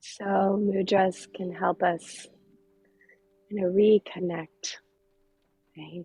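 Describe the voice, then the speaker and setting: Somewhat breathy, a woman of medium pitch speaks with monotone, flat intonation. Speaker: yoga teacher. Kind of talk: guided yoga class. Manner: halting, many ums.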